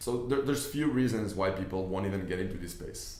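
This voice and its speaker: A man with a non-native accent speaks with fairly even intonation, amid audible room echo and noticeable background noise. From Israel. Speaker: business investor and YouTuber. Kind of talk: online training talk. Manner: casual, with fillers and repetitions.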